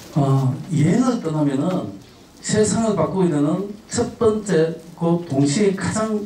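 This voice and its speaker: Heard through noticeable background noise and audible room echo, a man speaks at a high pitch. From Gyeongsang, South Korea. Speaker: travel speaker, head of a travel organization. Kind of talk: lecture to high school students. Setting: school auditorium with student audience. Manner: frequent filler 'uh' pauses.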